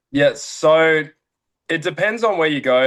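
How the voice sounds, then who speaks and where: With an Australian accent, a man talks with ordinary pitch variation. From Australia, near Brisbane. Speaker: college baseball player. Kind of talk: casual interview. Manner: casual, filler-heavy.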